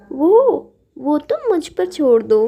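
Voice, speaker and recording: A woman's cartoonish character voice, extremely high in pitch, with very wide pitch swings. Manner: warm, reassuring.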